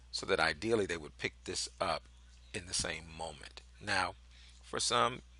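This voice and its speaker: Bright, sharp tone marks this voice, in an American accent. The background is quiet. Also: man. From northern US. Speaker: marketing coach. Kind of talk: tutorial. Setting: whiteboard presentation.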